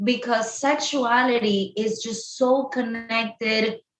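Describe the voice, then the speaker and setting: A woman's fairly high voice with a Spanish accent. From Colombia. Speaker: sex therapist. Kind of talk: podcast interview.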